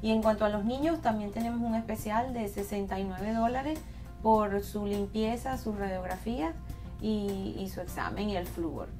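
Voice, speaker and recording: The speech moves at a moderate pace, with clear music in the background. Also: woman. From Venezuela. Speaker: dentist. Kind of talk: promotional interview talk. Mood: warm, calm, professional.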